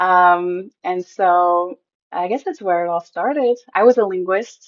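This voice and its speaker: The pace here is fairly slow, with ordinary pitch variation. It is an ordinary speaking voice. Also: woman, medium pitch for a woman. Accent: American. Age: 30s. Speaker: mom and former military linguist. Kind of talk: interview.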